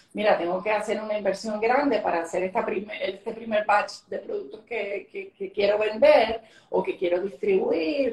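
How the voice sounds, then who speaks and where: Against noticeable background noise, a woman with a fairly high pitch speaks at a moderate pace with hardly any pauses, ordinary pitch variation and big swings in loudness. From Venezuela. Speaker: government economic development official. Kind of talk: interview on a live stream.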